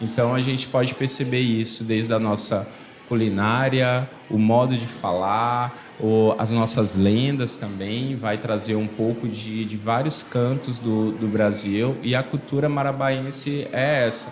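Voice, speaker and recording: A man's medium-pitched voice at a fairly slow pace, fairly even in intonation, amid audible room echo and noticeable background noise. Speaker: museum projects coordinator. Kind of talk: interview. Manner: halting, repeats words.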